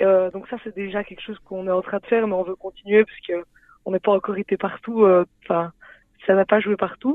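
At a fairly quick pace, a woman speaks at a medium pitch in a monotone, flat intonation, with big swings in loudness. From Belgium, Liège. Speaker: sport co-creator, physical education graduate. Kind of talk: radio interview.

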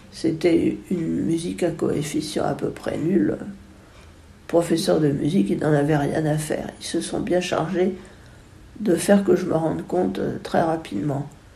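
Against audible room echo, a woman with a fairly low pitch, a dark, mellow tone and vocal fry talks at a fairly slow pace, using lively intonation and long, frequent pauses. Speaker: musician, composer and retired music teacher. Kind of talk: interview testimony. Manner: halting, with frequent word repetitions.

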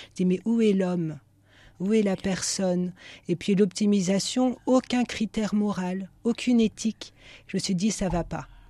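At a moderate pace, a woman speaks at a medium pitch in a dark, mellow, somewhat breathy tone with ordinary pitch variation. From western France (Nantes). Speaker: religious sister. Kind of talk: radio interview.

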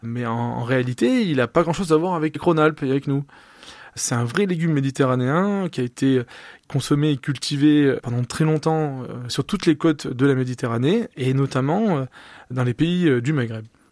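A man with a fairly high voice speaks at a moderate pace with ordinary pitch variation, recorded very cleanly against a silent background with a dry, close sound and no echo. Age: 30s. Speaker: food entrepreneur. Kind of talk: radio interview. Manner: halting, with fillers.

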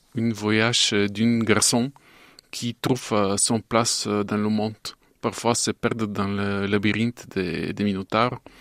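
With a Bulgarian accent, a man speaks very slowly at a fairly low pitch in a monotone, flat way. The recording is very clean and dry, close with no echo, over a silent background. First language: Bulgarian (speaking French). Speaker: animation filmmaker. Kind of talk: interview. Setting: studio. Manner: halting.

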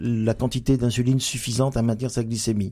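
A man talks at a medium pitch with a dark, mellow tone. The recording is very clean, with a silent background. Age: 50s. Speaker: general practitioner. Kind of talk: radio interview. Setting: studio. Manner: hesitant, many fillers.

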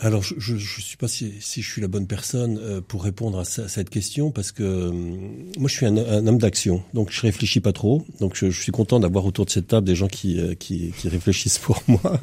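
A man talks at a moderate pace in a fairly low, somewhat breathy voice. His tone is dark and mellow, with ordinary pitch variation. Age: 60s. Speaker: entrepreneur, former national scout leader. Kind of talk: radio panel discussion. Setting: radio studio. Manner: halting, many repetitions.

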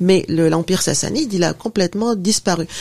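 A woman talks at a moderate pace and medium pitch with ordinary pitch variation, against noticeable background noise. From Tunisia. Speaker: professor and author. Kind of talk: radio interview.

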